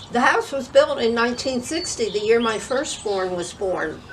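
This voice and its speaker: A woman with an American accent talks at a moderate pace, her fairly high pitch carrying lively intonation. Noticeable background noise and audible room echo fill the recording. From northern New Jersey. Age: 80s+. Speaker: grandmother interviewee. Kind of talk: interview.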